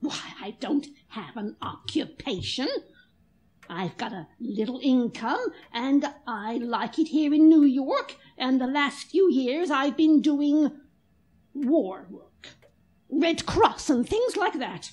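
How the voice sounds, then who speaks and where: A woman speaks in a high voice with lively intonation at a fairly slow pace. Long, frequent pauses break up her speech. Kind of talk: 1940s radio drama. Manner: brisk, tart, unflappable.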